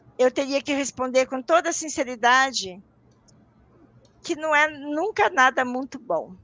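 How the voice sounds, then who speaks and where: With lively intonation and a high pitch, a woman talks at a fairly slow pace, pausing long and often. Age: 60s. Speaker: parapsychology professor and researcher. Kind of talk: interview on a live stream. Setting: live online broadcast.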